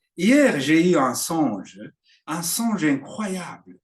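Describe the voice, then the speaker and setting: A man speaks in a Burundian accent. His pace is very slow. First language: Kirundi (speaking French). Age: 60s. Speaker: preacher. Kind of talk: sermon. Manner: halting.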